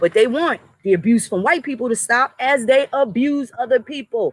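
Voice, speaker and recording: A woman with a New York accent speaks at a moderate pace in an animated tone, with lively intonation and a fairly high pitch, in a dry, close sound with no echo. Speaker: commentary vlogger. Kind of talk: impassioned monologue.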